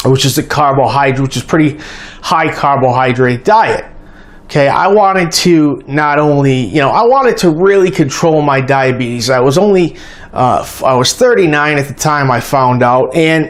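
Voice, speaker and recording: In a normal speaking voice, a man with an American accent talks at a moderate pace, his fairly high pitch showing ordinary variation. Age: 40s. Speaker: diabetes health vlogger. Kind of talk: personal testimony vlog. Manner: casual, conversational.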